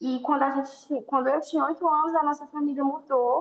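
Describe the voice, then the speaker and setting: This is a woman with a high pitch. Her intonation stays fairly even. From Brazil, interior of Ceará. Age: 20s. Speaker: missionary. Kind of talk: interview.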